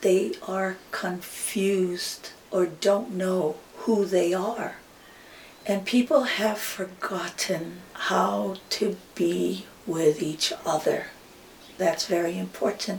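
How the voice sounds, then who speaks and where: Amid noticeable background noise, a woman with a Hawaiian accent speaks at a very slow pace, her medium pitch held in fairly even intonation. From Hawaii, Maui. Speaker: hula teacher. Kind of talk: interview.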